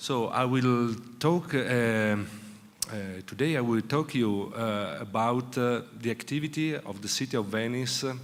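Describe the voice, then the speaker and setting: A man's medium-pitched voice in an Italian accent, with audible room echo. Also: ordinary pitch variation, fairly slow pace. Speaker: city official. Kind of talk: conference presentation. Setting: conference session with audience. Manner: slow, halting.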